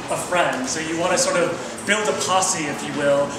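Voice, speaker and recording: A man's raised, projected voice amid noticeable background noise and audible room echo. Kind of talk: presentation talk. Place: hall. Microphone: camera far.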